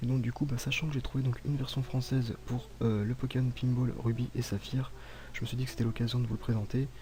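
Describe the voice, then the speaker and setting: A soft-spoken, somewhat breathy man at a medium pitch, dark and mellow in tone, monotone and flat, at a fairly quick pace. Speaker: gaming YouTuber. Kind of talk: gameplay commentary. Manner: calm.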